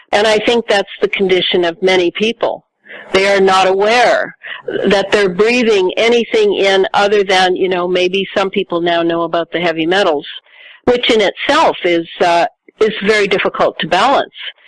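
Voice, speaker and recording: At a moderate pace, a woman speaks with a medium pitch, ordinary pitch variation and very even loudness. The sound is dry and close, without echo. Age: 60s. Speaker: author and researcher. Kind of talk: interview. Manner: halting.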